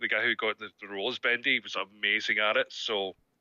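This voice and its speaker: This is a man speaking with a Scottish accent. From Scotland. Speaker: voice actor. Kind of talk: interview. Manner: halting.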